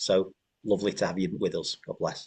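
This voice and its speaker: With a Manchester accent, a man speaks at a fairly low pitch. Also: dry, close sound with no echo. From northern England, North Manchester. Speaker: pastor, network leader. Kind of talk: podcast introduction.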